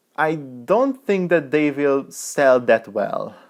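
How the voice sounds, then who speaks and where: A man with a non-native accent speaks over a quiet background. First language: not English. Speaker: tech reviewer. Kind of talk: product review.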